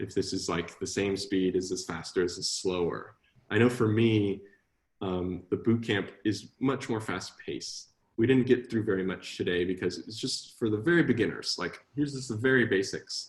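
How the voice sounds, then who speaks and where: Ordinary pitch variation in a somewhat breathy voice. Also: man, fairly low pitch for a man. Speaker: coding instructor. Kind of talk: online class Q&A. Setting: live online class. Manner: fast talker.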